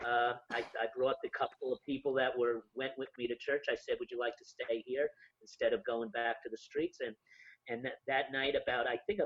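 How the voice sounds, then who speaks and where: A man speaks at a moderate pace with a New York accent. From Yonkers, New York, US. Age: 50s. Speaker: homeless ministry founder. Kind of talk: interview storytelling. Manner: halting, many fillers.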